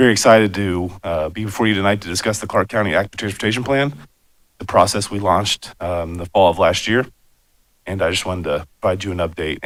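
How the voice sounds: In a raspy, put-on character voice, a man rattles along at a very fast pace with a fairly low pitch.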